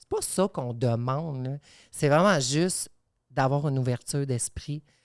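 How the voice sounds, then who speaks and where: In an English accent, a woman speaks in a very deep, low voice at a fairly slow pace. Her pitch varies in an ordinary way while her loudness swings widely, on a very clean recording with a silent background. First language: English (speaking French). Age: 30s. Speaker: podcast guest. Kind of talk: podcast conversation.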